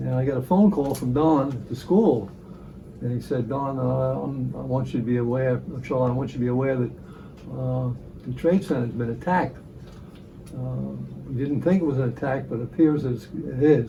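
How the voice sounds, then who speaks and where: With long, frequent pauses, a man speaks at a moderate pace amid audible room echo and noticeable background noise. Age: 80s+. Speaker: ham radio operator. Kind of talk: documentary interview.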